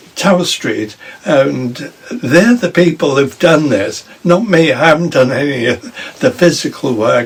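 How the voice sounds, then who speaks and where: Over noticeable background noise, a man speaks fairly slowly in a fairly high pitch with lively intonation. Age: 80s+. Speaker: local councillor and mayor. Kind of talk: casual interview.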